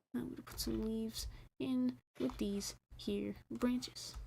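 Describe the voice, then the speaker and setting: Mumbling woman at a very slow pace. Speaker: gaming streamer. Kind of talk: live gameplay stream commentary. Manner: mumbly; casual, rambling.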